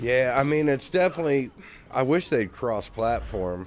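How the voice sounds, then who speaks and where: Noticeable background noise runs under this recording. A man talks at a fairly slow pace with lively intonation. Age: 50s. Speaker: streamer and musician. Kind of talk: casual gaming livestream chat. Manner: casual, full of filler words.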